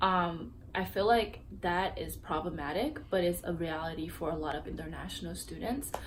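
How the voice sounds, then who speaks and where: With audible room echo, a woman talks at a moderate pace with hardly any pauses. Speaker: international student. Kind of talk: interview. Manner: hesitant.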